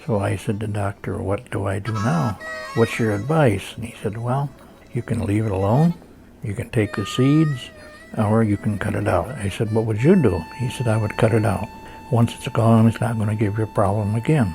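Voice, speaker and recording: At a moderate pace, a man talks with a fairly low pitch and ordinary pitch variation over noticeable background noise. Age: 80s+. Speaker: prostate cancer survivor. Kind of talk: testimony.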